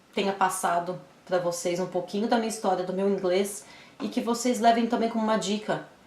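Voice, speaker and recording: With audible room echo and noticeable background noise, a woman talks at a moderate pace with ordinary pitch variation. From Brazil. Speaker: YouTuber. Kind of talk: casual vlog advice.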